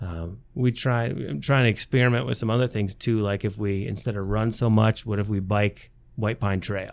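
A man with an Upper Midwest accent speaks at a moderate pace in a fairly low pitch with ordinary pitch variation, on a very clean recording with a silent background. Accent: Upper Midwest American (Michigan). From southern Michigan, Lenawee County. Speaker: high school soccer coach and math teacher. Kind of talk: casual interview chat.

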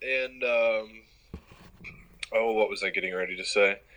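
This man has an American accent. He speaks at a fairly slow pace. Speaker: college sports writer. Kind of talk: casual sports interview.

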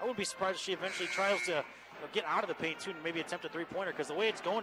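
Over music in the background, a man with an American accent talks very fast at a high pitch. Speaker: play-by-play sports announcer. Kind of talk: live commentary. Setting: courtside at a high school gym. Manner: animated.

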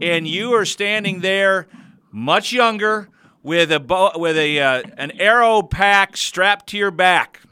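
With an American accent, a man delivers a raised, projected voice at a very slow pace, his high pitch carrying a bright, sharp tone. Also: ordinary pitch variation, very clean recording, silent background. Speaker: radio host. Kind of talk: radio interview. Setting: studio.

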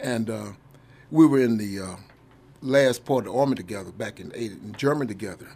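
A man with an Oklahoma accent and a dark, mellow tone talks very fast with vocal fry, ordinary pitch variation, big swings in loudness and long, frequent pauses. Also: medium pitch for a man. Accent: Oklahoma Southern American. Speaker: army veteran. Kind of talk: radio interview. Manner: halting.

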